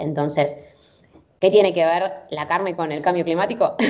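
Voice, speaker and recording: With noticeable background noise, a woman talks at a moderate pace in a very deep, low pitch and fairly even intonation. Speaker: sustainability interviewee. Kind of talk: interview.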